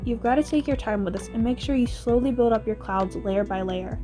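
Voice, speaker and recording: Background music plays throughout. Over it, a woman talks fairly quickly. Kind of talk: DIY tutorial voiceover. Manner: casual, chatty.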